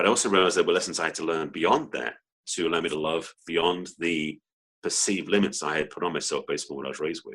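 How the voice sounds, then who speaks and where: A man with an English accent at a very fast pace. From England. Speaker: relationship coach. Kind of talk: interview.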